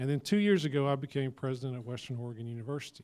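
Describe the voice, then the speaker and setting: With a Georgia accent, a man talks at a very fast pace with a medium pitch and ordinary pitch variation. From rural southern Georgia, US South. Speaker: university president. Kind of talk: panel presentation. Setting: luncheon event with audience.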